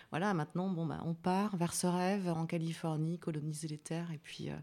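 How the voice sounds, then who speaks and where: On a very clean recording with a silent background, a woman speaks at a fairly slow pace with a non-native accent. Her pitch is fairly low with ordinary pitch variation. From France, Vosges. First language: not French (speaking French). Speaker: singer-songwriter. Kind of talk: radio interview. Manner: halting.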